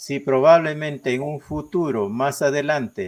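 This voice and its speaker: A man talks at a very slow pace. He has a Peruvian Amazonian accent. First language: Ashéninka (speaking Spanish). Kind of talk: interview. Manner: halting, many fillers.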